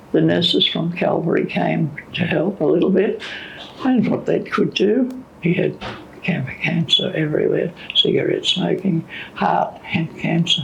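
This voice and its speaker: A woman with an Australian accent at a fairly slow pace, with noticeable background noise. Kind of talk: interview answer.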